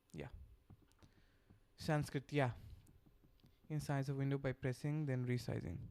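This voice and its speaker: With a Bengali accent, the speaker keeps a moderate pace broken by long, frequent pauses. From Bangladesh. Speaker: software developer streamer. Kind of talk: live coding stream chat. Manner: halting, many fillers.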